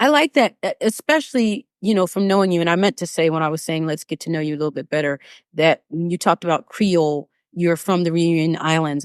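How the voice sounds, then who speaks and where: A woman with an American accent speaks in a normal speaking voice. The sound is dry and close with no echo, on a very clean recording with a silent background. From United States. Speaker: vocal coach and podcast host. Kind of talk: interview conversation.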